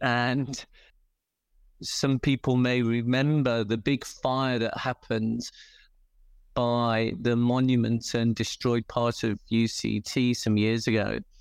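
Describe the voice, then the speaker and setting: Speaking very slowly in a British accent, a man holds a medium pitch and fairly even intonation, his loudness very even, with long, frequent pauses. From England. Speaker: dog rescue volunteer. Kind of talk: interview.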